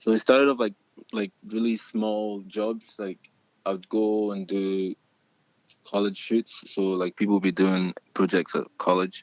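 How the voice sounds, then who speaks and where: A man with a slight Scottish accent talks at a fairly slow pace in a monotone, flat way. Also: fairly low pitch for a man. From Scotland, Glasgow (born in Nigeria, moved at nine). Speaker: model and rap artist. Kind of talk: casual interview chat.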